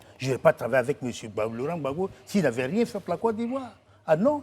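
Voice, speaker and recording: A man with a high pitch and a dark, mellow tone swings his pitch very widely. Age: 60s. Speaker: writer and political commentator. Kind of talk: TV talk show interview. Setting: TV studio.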